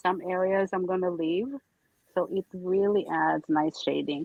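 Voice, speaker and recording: Speaking in an American accent, a woman keeps a medium pitch with ordinary pitch variation. Her pace is very slow. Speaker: artist demonstrating technique on a livestream.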